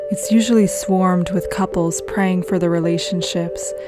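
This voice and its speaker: Over music in the background, a calm tone carries an American accent at a moderate pace. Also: woman. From United States. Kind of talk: reflective travel journal narration. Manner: calm, soft-spoken.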